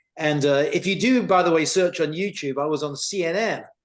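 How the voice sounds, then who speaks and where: A man speaks with a British accent. His pitch variation is ordinary. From United Kingdom. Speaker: tech company CEO. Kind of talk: talk presentation. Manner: animated.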